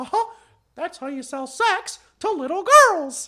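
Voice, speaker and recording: A put-on character voice sits at an extremely high pitch. It moves at a fairly slow pace with very wide pitch swings. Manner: gleeful, crude.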